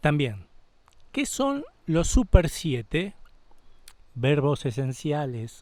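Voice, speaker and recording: Using a fairly high pitch and lively intonation, a man speaks at a very slow pace with long, frequent pauses. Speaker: channel host, interviewer. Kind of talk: video intro and interview questions.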